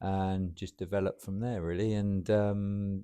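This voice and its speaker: A man with a southern English accent, very deep and low in pitch with a dark, mellow tone, at a moderate pace over a quiet background. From southern England, Portsmouth area. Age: 60s. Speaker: roofing business owner and football club chairman. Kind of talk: podcast interview. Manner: hesitant, with many fillers.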